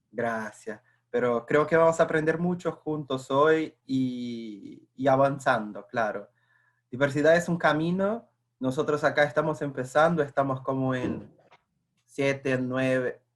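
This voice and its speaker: A man with a fairly high pitch talks at a fairly slow pace, using ordinary pitch variation. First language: Portuguese (speaking Spanish). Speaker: corporate internal communications staffer. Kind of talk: webinar presentation.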